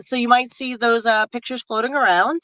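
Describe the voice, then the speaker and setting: The voice comes in a New York accent, with a dry, close sound and no echo. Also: woman. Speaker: political candidate. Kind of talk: casual interview. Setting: in a car. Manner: halting, many fillers.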